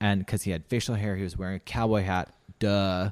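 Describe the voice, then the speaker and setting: A man with a Canadian accent talks very fast in a fairly low voice, his intonation fairly even, the sound dry and close with no echo on a very clean recording with a silent background. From Canada, rural Saskatchewan. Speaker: international school teacher and runner. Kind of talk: casual interview chat.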